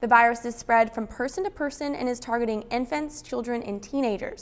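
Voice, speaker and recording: A woman talks fairly quickly with ordinary pitch variation, and noticeable background noise is present. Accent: American. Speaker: television news reporter. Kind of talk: TV news reporter package narration.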